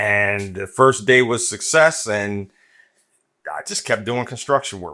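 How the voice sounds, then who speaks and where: Here a man speaks at a fairly slow pace. His medium-pitched voice has a bright, sharp tone. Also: ordinary pitch variation. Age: 60s. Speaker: retired union laborer. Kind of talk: interview.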